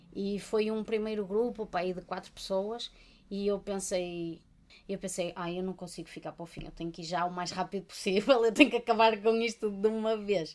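This woman talks at a moderate pace with a medium pitch. Her pitch varies in an ordinary way. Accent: European Portuguese. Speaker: podcast co-host, art therapist. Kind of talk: casual chat.

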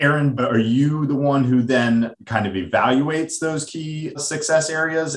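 Pitch shifts by a normal amount in a plain, everyday voice. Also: man. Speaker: financial advisor. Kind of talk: casual business conversation.

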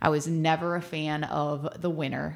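Noticeable background noise runs under a woman's voice. She speaks in a very deep, low pitch with monotone, flat intonation. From Ohio, Cleveland suburbs. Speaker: adventure club co-founder. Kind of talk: interview. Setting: studio.

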